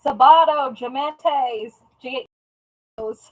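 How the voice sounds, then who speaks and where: In a put-on character voice, a woman drawls at a high pitch. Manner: Spanish words spoken with a Texan drawl.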